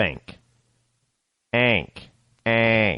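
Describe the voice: Putting on a nasal character voice with an upstate New York accent, a man speaks at a medium pitch.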